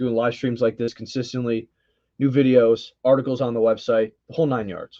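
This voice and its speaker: A man talks at a fairly quick pace in a dark, mellow voice. His pitch sits in the medium range and his intonation is monotone and flat. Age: 20s. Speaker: YouTube channel host. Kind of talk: live stream chat. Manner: casual, conversational.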